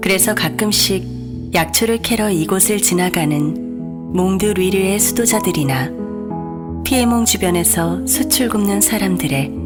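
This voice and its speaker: A woman speaks at a fairly slow pace and a very even loudness, with music in the background. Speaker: voice actor. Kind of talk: audiobook reading.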